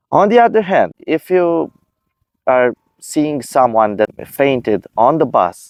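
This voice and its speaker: A man with a non-native accent, very slow pace and lively intonation, dry and close with no echo. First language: not English. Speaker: video creator sharing personal experience. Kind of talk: personal advice talk. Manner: halting.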